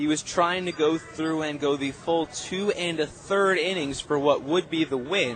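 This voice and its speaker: Music plays in the background as a man speaks in an excited, energetic tone with ordinary pitch variation. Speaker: radio play-by-play announcer. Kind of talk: sports radio postgame recap.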